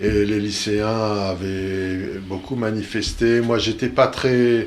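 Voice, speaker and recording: A man speaks in a fairly low, monotone, flat voice, with audible room echo. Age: 60s. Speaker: member of a mental health peer-support association. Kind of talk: casual radio discussion. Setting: studio.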